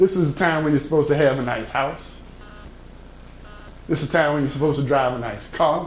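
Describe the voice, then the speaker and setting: A man speaks at a very fast pace, in a fairly high pitch, yet with long, frequent pauses. Noticeable background noise runs underneath. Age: 60s. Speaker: motivational speaker. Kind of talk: motivational talk to young people. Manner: animated.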